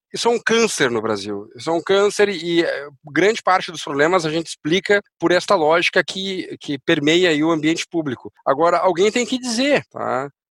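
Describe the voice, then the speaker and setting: At a moderate pace, a man with a high pitch and lively intonation is heard in a dry, close recording with no echo. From Uruguay. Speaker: education entrepreneur. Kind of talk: podcast interview.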